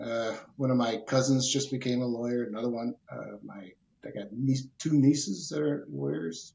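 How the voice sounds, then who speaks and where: Here is a man with an American accent. He has a medium pitch and a moderate pace. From US Midwest, Cleveland, Ohio. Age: 60s. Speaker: personal injury lawyer. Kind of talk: interview.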